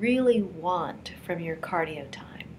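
A woman speaks with lively intonation. There is light background noise. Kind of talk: tutorial. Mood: warm, encouraging. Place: home room. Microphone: webcam.

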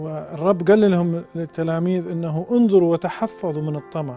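A man with an Iraqi accent speaks at a high pitch and a fairly slow pace. His pitch varies in an ordinary way, with faint music in the background. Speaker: priest. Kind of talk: religious teaching talk. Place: studio. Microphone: lapel.

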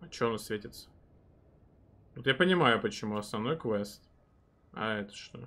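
A man speaks at a moderate pace in a bright, sharp tone, with ordinary pitch variation, big swings in loudness and long, frequent pauses. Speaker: game streamer. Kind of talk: live gameplay stream commentary with chat. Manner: casual, filler-heavy with repetitions. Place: home room.

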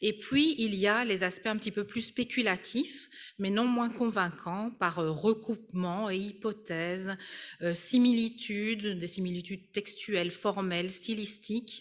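In a normal speaking voice, a woman of medium pitch talks fairly slowly with ordinary pitch variation. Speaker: art history professor and Egyptologist. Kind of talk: lecture. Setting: conference hall with audience and Zoom.

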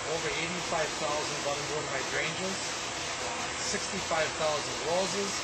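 Loud background noise behind a man's fairly slow delivery. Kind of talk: interview answer.

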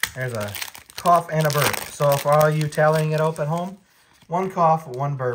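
Noticeable background noise sits under the voice. The pace is moderate. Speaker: Pokemon card YouTuber. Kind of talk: casual video, opening card packs. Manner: casual, chatty, animated. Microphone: phone near.

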